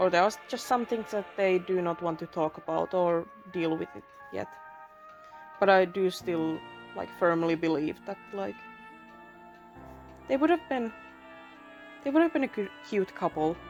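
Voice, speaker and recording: Speaking at a moderate pace with long, frequent pauses, a woman with a non-native accent uses a fairly low pitch and lively intonation while music plays in the background. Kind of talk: casual commentary over speedpaint. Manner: casual, rambling.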